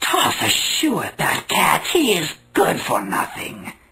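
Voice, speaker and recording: A man puts on a cartoonish character voice at an extremely high pitch. He speaks at a fairly slow pace. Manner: cloyingly sweet.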